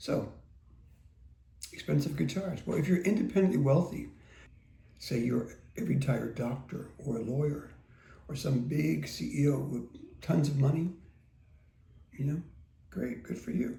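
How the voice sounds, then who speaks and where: Over audible room echo, a man speaks at a moderate pace in a relaxed tone. Long, frequent pauses break up his speech. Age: 60s. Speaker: guitar teacher. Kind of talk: casual talk to camera. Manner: relaxed, conversational with fillers.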